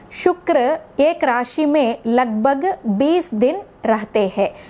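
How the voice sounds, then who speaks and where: A high-pitched woman with lively intonation over noticeable background noise. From South India. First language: South Indian language (not Hindi) (speaking Hindi). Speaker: astrologer. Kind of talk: astrology forecast talk.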